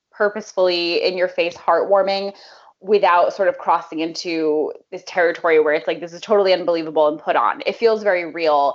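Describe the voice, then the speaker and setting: Moderately paced and with ordinary pitch variation, a woman speaks at a medium pitch in an unremarkable speaking voice. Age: 30s. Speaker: podcast co-host. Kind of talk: casual chat.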